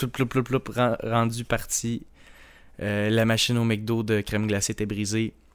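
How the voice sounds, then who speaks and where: In a very clean recording with a silent background, a man with a Quebec accent speaks at a medium pitch and a fairly slow pace. His intonation is monotone and flat, with long, frequent pauses. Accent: Québécois French. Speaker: podcast co-host. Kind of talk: casual chat.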